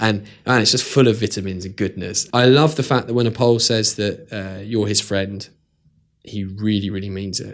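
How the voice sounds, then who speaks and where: A man's fairly low voice in a British accent, at a fairly quick pace with fairly even intonation, on a very clean recording with a silent background. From UK. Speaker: blogger. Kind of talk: interview.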